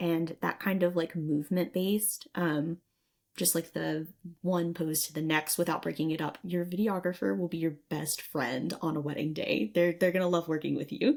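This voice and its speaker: The speaker is soft-spoken with an American accent. The pace is moderate, and the pitch varies in an ordinary way. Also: woman, fairly low pitch for a woman. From Southwest Virginia. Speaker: podcast host and photographer. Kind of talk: podcast interview.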